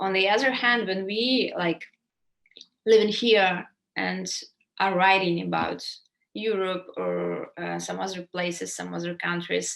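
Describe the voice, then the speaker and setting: A woman with a Ukrainian accent talks at a fairly slow pace. She leaves long, frequent pauses. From Ukraine. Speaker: writer. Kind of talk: interview Q&A.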